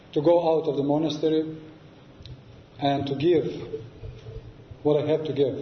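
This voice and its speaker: A man with a non-native accent speaks at a fairly high pitch in monotone, flat intonation. Room echo can be heard. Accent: non-native English, learned in New York. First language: Serbian. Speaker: Orthodox monk and abbot. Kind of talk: lecture. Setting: church with audience. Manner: halting, frequent filler sounds.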